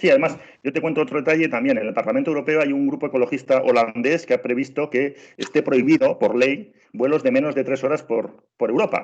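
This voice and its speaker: With a Spanish accent, a man speaks at a very fast pace in a fairly high voice with ordinary pitch variation. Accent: Spanish (Spain). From Spain. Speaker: travel trainer, former tour guide. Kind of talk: online training webinar. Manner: animated, many repetitions and fillers.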